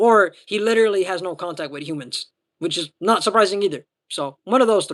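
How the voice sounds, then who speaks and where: His loudness swinging widely, a man speaks with a high pitch. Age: 20s. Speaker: livestreamer. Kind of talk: casual chat reading viewer comments. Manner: halting.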